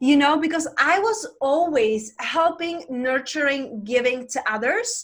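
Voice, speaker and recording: With a Czech accent, a woman speaks at a fairly slow pace in a high pitch, using very wide pitch swings and hardly any pauses. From Czech Republic. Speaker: life coach. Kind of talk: interview.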